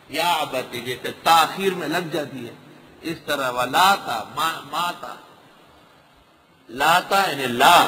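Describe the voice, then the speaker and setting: Noticeable background noise runs under this recording. A man speaks with a fairly high pitch and ordinary pitch variation. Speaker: Islamic scholar giving a Quran lecture. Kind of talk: religious lecture explaining Quran translation and commentary.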